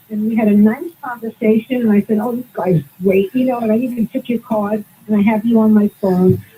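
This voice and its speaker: With a Brooklyn accent, a woman with a fairly high, somewhat breathy voice and a dark, mellow tone talks at a fairly quick pace with fairly even intonation and hardly any pauses. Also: dry, close sound with no echo. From Brooklyn, New York. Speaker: caller. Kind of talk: call-in radio talk.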